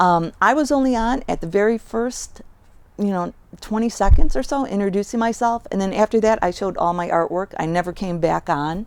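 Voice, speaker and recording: Her intonation lively, a woman speaks at a medium pitch and a fairly quick pace. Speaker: collage artist giving video tips. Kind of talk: tutorial. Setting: outdoors in driveway in front of garage. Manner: casual with many fillers, slight mumbling.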